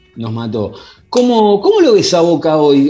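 A man speaks at a moderate pace. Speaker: podcast host. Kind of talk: casual interview. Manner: halting.

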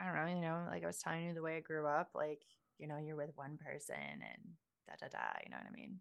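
Against a quiet background, a woman's voice sits fairly low in pitch with a bright, sharp tone. She speaks at a very fast pace. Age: 30s. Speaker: adult content creator. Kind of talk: casual interview.

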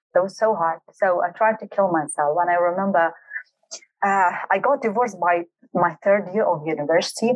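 A woman with a Kurdish accent talks at a moderate pace, her loudness very even throughout. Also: medium pitch for a woman, ordinary pitch variation. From Kurdistan region of Iraq, Halabja. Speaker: high performance coach. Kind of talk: interview, personal life story.

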